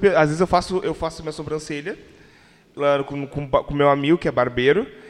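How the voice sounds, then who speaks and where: A man talks at a fairly quick pace. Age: 20s. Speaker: podcast host. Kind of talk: casual chat.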